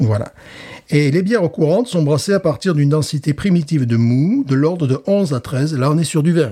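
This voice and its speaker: Fairly high in pitch, a man talks at a moderate pace with lively intonation and very even loudness. His tone is dark and mellow and somewhat breathy. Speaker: podcast co-host, beer reviewer. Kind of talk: casual chat. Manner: animated.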